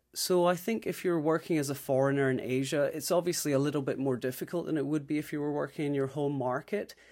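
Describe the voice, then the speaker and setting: On a very clean recording with a silent background, a man with a fairly high pitch talks at a very fast pace with hardly any pauses. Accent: Scottish. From Scotland. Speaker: recruiter. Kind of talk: interview.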